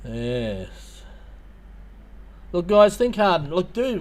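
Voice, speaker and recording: A man with an Australian accent. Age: 50s. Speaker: YouTuber. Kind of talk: livestream chat. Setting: livestream. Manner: hesitant, many fillers.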